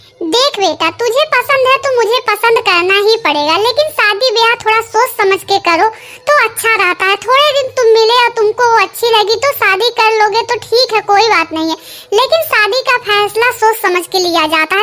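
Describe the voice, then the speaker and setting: A cartoonish character voice at a moderate pace, with hardly any pauses and clear background noise. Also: woman, extremely high pitch for a woman. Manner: affectionate, homely.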